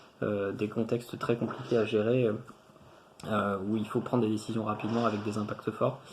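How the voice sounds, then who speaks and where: A man speaks at a moderate pace in a fairly low voice, his intonation monotone and flat. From France, Tours area. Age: 30s. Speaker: engineer, former student. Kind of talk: testimonial interview. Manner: hesitant, many fillers and repetitions.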